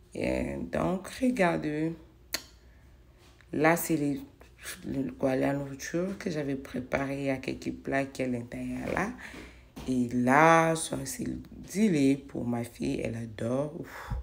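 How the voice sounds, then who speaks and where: The woman speaks at a very slow pace with long, frequent pauses. Room echo is audible. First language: not French (speaking French). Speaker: home cleaning vlogger. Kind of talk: casual vlog narration while cleaning. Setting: home kitchen. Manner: hesitant, with fillers.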